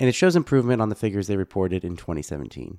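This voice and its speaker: The recording is very clean, with a silent background. A man speaks in a fairly low pitch with a dark, mellow tone. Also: dry, close sound with no echo. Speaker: podcast host. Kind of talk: scripted narration.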